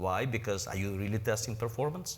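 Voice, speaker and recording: The voice is somewhat breathy, with a non-native accent, a fairly quick pace, ordinary pitch movement and audible echo from the room. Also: man. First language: not English. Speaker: presenter. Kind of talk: lecture; audience Q&A. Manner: halting.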